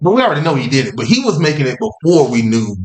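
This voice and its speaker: Vocal fry at a very fast pace, with very wide pitch swings. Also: man. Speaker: podcast host. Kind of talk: casual chat. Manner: animated.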